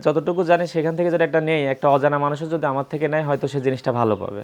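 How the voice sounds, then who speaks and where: A man speaks in a plain, everyday voice. His intonation is fairly even. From Bangladesh, Pabna district (Ishwardi). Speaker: cattle trader. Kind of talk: casual interview, showing cattle on camera.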